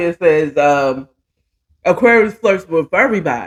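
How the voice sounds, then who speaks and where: Fairly slow speech from a woman, fairly low in pitch, with lively intonation. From DMV area (Washington DC region), US. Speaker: talk show host. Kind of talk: casual chat.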